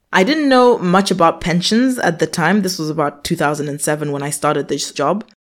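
An ordinary speaking voice from a woman, fairly low in pitch, with lively intonation, a fairly quick pace and hardly any pauses, on a very clean recording with a silent background. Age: 30s. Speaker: personal finance podcast host. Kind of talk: scripted monologue answering a listener question.

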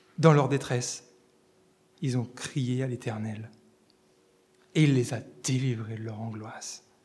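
A man talks at a moderate pace in an animated tone. His voice is somewhat breathy. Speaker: preacher. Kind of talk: sermon. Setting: church. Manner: animated, fervent preacher addressing the congregation as 'les amis'; emphatic, rhythmic repetition building to a climax.

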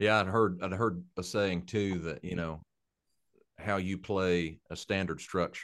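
Against a quiet background, a man with a very deep, low voice talks in an Appalachian accent at a fairly slow pace, his intonation monotone and flat. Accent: Appalachian Southern US. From Eastern Kentucky, Appalachia. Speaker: bluegrass country songwriter and musician. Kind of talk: casual interview chat.

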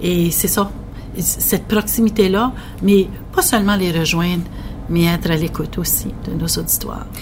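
A woman talks at a fairly slow pace, taking long, frequent pauses, with noticeable background noise behind her. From northwestern New Brunswick. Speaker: regional broadcasting director. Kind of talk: interview.

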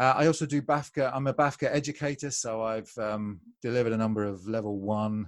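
A man with a British accent talks at a fairly quick pace and a medium pitch. The recording is very clean, with a silent background. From UK. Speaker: American football coach. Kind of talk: podcast interview.

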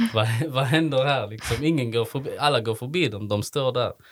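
The recording is very clean, and the background is silent. A man's voice is heard. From Sweden, Malmö. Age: 30s. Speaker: social entrepreneur, event organiser. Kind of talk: interview. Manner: halting, many fillers.

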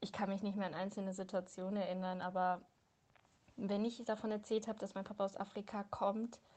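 A woman speaks at a medium pitch in a dark, mellow tone. Her intonation is monotone and flat. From Hildesheim, Lower Saxony, Germany. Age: 20s. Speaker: personal testimony contributor. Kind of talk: testimony.

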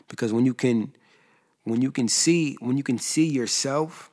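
A man with an American accent speaks at a moderate pace in an ordinary speaking voice, with ordinary pitch variation. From US East Coast. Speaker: musician. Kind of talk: casual chat.

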